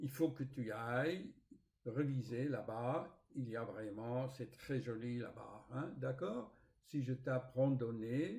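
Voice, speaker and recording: Speaking very slowly in a non-native accent, a man uses a somewhat breathy voice at medium pitch. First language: not French (speaking French). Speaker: spiritual author and YouTuber. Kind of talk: casual vlog storytelling. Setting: home recording with screen recorder. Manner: hesitant, with fillers and repetitions.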